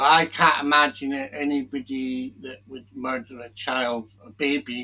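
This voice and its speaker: A man's medium-pitched voice with a British accent, bright and sharp in tone, fairly even in intonation, at a fairly slow pace. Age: 60s. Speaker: commentary video maker. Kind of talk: casual monologue commentary. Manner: halting.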